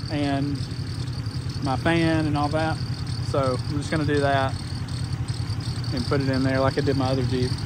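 The sound is dry with no echo as a man keeps a moderate pace beneath loud background noise. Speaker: car vlogger. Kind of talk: casual vlog chat. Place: garden. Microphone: phone near.

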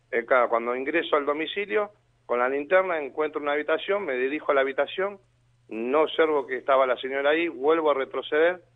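In a Rioplatense accent, a man with a fairly high voice talks very fast with ordinary pitch variation. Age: 40s. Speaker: volunteer firefighter. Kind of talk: interview testimony. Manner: halting.

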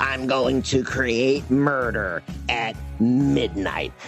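A man's put-on character voice at a medium pitch, very slow pace, with clear music in the background. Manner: menacing.

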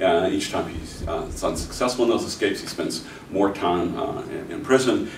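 At a moderate pace, the voice carries audible room echo and light background noise. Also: man. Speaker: professor. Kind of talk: lecture. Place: classroom. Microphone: camera far.

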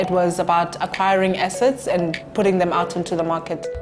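Over clear background music, a woman speaks at a fairly low pitch. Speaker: auctioneering company managing director. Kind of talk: interview answer about her business. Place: meeting room.

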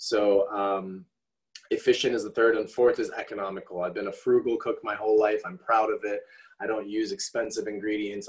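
The background stays quiet. A man's speech moves at a moderate pace. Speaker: presenter. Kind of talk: online presentation. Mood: relaxed, friendly. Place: kitchen. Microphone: video call.

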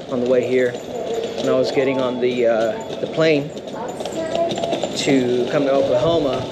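Loud background noise behind a man's voice. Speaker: touring musician vlogger. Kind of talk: casual vlog chat. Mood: mildly disappointed, calm. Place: station. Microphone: phone near.

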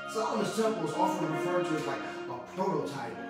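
A man speaks with audible room echo. Loud music plays in the background. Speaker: pastor. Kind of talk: sermon. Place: home room.

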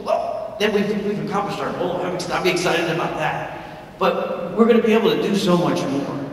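A man with a high voice and ordinary pitch variation talks at a fairly quick pace amid strong room echo and light background noise. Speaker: film producer. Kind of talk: announcement presentation to an audience. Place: hall.

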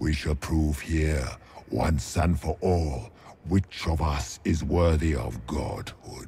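A man uses a put-on character voice at an extremely low pitch. His tone is dark and mellow, and his pace is slow. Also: ordinary pitch variation.

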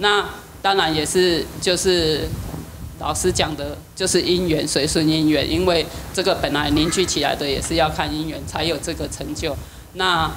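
A woman's fairly low, fairly even voice at a fairly slow pace, over light background noise. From southern Taiwan. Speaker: class participant. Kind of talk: testimony. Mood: calm, sincere. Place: hall. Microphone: handheld.

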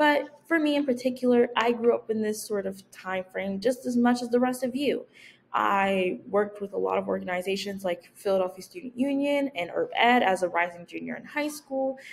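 The speaker moves at a moderate pace with hardly any pauses and lively intonation. Light background noise is present. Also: woman. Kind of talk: persuasive speech presentation. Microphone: webcam.

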